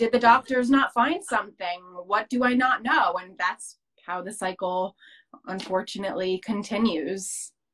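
With an American accent, a woman speaks at a moderate pace in a medium pitch. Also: ordinary pitch variation. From New Jersey, US. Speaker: mental health advocate, social media creator. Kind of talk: interview. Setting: video call.

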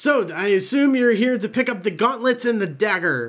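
Using a put-on character voice, a man speaks at a moderate pace, his tone high and raspy.

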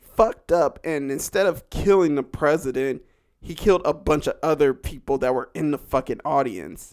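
In a plain, everyday voice, a man with an American accent and a fairly high pitch talks at a moderate pace with ordinary pitch variation, recorded very cleanly over a silent background. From California. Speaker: horror podcaster. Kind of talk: casual solo podcast monologue. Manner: casual, slangy, jokey.

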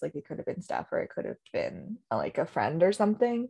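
Very fast speech comes through in a dry, close sound with no echo against a quiet background. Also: woman. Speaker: podcast host (hockey fan). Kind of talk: casual chat.

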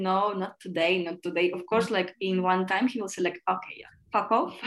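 A woman speaks in a Russian accent on a very clean recording with a silent background. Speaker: podcast guest. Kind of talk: casual chat.

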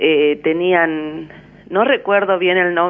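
A woman with a normal speaking voice talks at a fairly low pitch. Her intonation stays fairly even. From Argentina, German colony near Villa Ocampo area (Román). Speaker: caller. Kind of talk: phone-in reminiscence. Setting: phone call.

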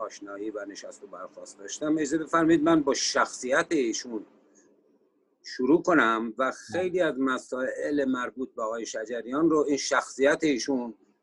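A man's fairly high voice, a normal speaking voice, with ordinary pitch variation at a moderate pace. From Iran, Sari (Mazandaran). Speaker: economist and musician. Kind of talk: panel discussion interview.

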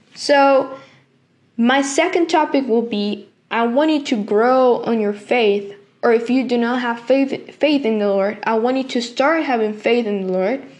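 Her voice is high for a woman, with ordinary pitch variation. The woman speaks at a fairly slow pace. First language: Spanish. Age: 20s. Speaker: podcast host, youth ministry worker. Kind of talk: devotional talk. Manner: halting, many fillers.

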